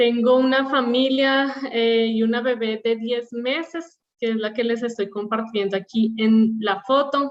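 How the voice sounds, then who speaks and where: In a Bogotá accent, a woman with a fairly high pitch talks at a fairly slow pace with fairly even intonation. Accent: Bogotá Colombian. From Colombia, Bogotá. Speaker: operational excellence leader, panelist. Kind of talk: panel presentation.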